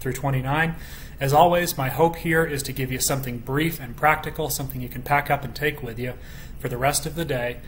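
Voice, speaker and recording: A man at a fairly quick pace with fairly even intonation, over light background noise. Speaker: bible study teacher. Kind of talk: bible study teaching. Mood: calm, earnest. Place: home room. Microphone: webcam.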